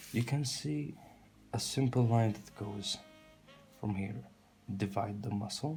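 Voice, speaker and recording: Over background music, a man with a fairly low pitch talks at a fairly slow pace with lively intonation and long, frequent pauses. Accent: non-native. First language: not English. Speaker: drawing tutor, artist. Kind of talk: tutorial. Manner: halting.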